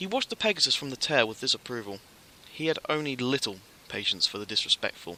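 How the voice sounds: What we hear is a natural reading voice.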